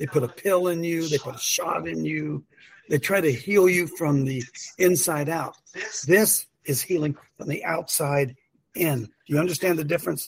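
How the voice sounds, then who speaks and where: A man speaks at a moderate pace in a fairly high, somewhat breathy voice. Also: ordinary pitch variation. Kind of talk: casual religious talk show. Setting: video call. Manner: animated.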